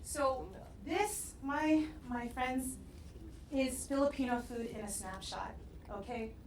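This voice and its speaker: A woman talks with an American accent. Her voice carries audible room echo amid noticeable background noise. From US West Coast, San Diego. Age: 40s. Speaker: restaurateur. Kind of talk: talk to audience. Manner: casual, with frequent fillers.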